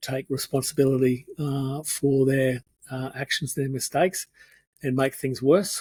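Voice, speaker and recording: This man has a fairly high pitch and a somewhat breathy voice, speaking at a moderate pace with an Australian accent. The recording is dry and close, without echo. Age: 60s. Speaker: architect turned speaker and painter. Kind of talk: interview conversation. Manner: halting.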